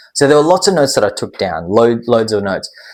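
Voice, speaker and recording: Here a man speaks with lively intonation. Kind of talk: casual talk to camera. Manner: hesitant, many filler words.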